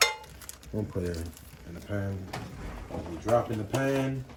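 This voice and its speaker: This man's voice sits fairly low. Noticeable background noise is present throughout. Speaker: home cook. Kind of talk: cooking tutorial. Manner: casual.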